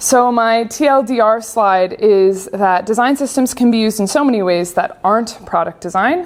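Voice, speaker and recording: Over noticeable background noise, a woman with a Canadian accent speaks at a moderate pace with lively intonation, very even loudness and hardly any pauses. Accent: Canadian, noticeable to local audience. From Canada, grew up on a farm. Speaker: UX designer and speaker. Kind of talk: conference talk. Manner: casual, with filler words.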